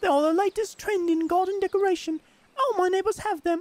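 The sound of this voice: Speaking at a fairly quick pace in a put-on character voice with a British accent, this female-sounding voice sits at an extremely high pitch for a woman.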